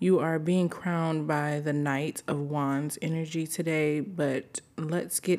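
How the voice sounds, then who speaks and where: A woman's very deep, low voice in a flat monotone, over noticeable background noise. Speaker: spiritual tarot reader. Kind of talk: intuitive spiritual reading.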